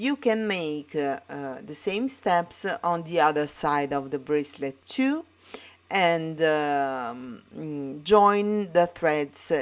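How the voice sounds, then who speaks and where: A woman speaks very slowly in an Italian accent, her pitch very deep and low with ordinary variation. The recording is very clean, with a silent background. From Italy. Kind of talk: tutorial. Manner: halting, many fillers.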